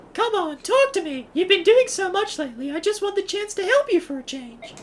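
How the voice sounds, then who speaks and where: In a put-on character voice, a female-sounding speaker squeaks along at a fairly quick pace with an extremely high pitch. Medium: actual play.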